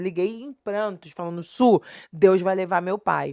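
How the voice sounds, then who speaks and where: A woman speaks at medium pitch and a moderate pace. The recording is very clean, with a silent background. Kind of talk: podcast interview, personal testimony. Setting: podcast studio. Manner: emotional.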